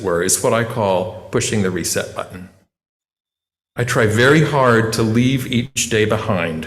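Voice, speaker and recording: A man speaks at a fairly slow pace, somewhat breathy, at medium pitch with ordinary variation. Room echo can be heard. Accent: American. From western North Carolina mountains. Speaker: voice teacher giving a lay sermon. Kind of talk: sermon. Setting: church.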